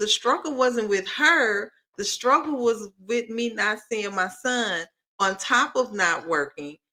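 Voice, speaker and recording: A woman is speaking. Her pace is fairly slow. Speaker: podcast co-host, mother co-parenting. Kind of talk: casual chat. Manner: loud.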